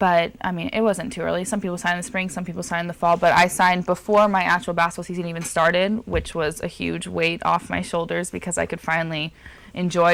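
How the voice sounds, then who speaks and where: A woman with an American accent talks with vocal fry. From Southern California. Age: young. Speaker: college basketball player and music student. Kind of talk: interview.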